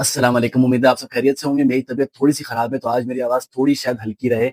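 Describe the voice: Close and dry with no echo, a man's voice sits at medium pitch with a slightly mellow tone.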